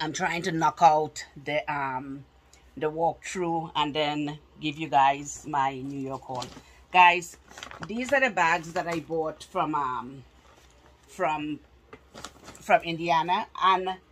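A woman speaks at a very slow pace with a very deep, low pitch, leaving long, frequent pauses. Light background noise is present. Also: ordinary pitch variation. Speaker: haul vlogger. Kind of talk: casual vlog chat. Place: home room. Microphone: phone near.

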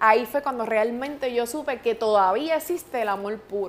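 Using lively intonation, a woman speaks in a fairly high voice at a moderate pace. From Puerto Rico. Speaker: radio host. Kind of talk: interview answer. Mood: emotional, recounting a painful loss. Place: studio.

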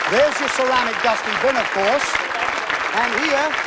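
A man talks at a fairly quick pace while noticeable background noise carries on. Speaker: TV game show host. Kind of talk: TV game show hosting, upbeat. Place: stage. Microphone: lapel.

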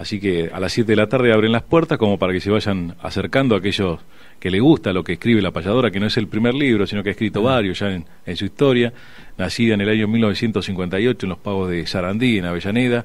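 A man with a plain, everyday voice, fairly low in pitch, ordinary pitch variation, a fairly quick pace and a dry sound with no echo. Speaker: traditionalist radio host as guest. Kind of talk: radio interview answer. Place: studio.

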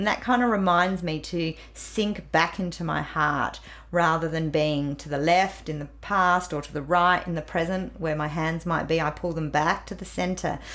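Speaking at a moderate pace, a woman with a fairly low pitch shows vocal fry and fairly even intonation. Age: 50s. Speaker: grief counsellor, author. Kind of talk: interview.

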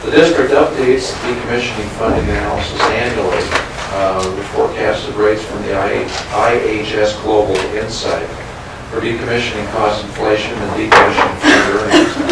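The room echo is audible. Loud noise fills the background. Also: man, moderate pace. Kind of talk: formal meeting report. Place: meeting room. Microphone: camera far.

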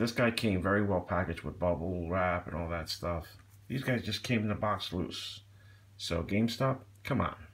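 At a moderate pace, a man speaks with a very deep, low pitch and ordinary pitch variation. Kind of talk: casual unboxing review chat. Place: home room.

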